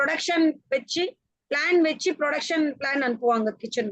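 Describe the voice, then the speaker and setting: A woman's high-pitched voice with a Tamil accent and ordinary pitch variation. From India, Tamil background. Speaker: food service professional. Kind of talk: interview on a panel.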